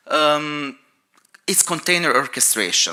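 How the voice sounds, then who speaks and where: A man with a non-native accent and a bright, sharp tone. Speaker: cloud infrastructure engineer. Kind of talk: conference talk.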